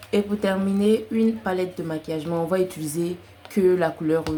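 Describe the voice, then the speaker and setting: A woman speaks with a slight non-native accent and fairly low pitch. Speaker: crochet content creator. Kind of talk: tutorial. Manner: casual, with many fillers.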